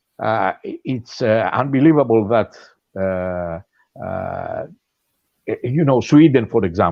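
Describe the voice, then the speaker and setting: Speaking very slowly with long, frequent pauses, a man with a Greek accent uses lively intonation at a medium pitch. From Greece. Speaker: podcast guest. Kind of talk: casual discussion. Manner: halting, many fillers.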